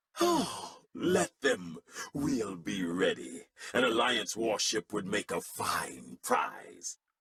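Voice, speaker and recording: A put-on character voice from a man at medium pitch. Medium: video game.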